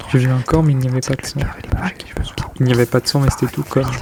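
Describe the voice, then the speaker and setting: A man whispers, and noticeable background noise can be heard. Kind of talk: whispered poetry reading with body sounds. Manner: whispered.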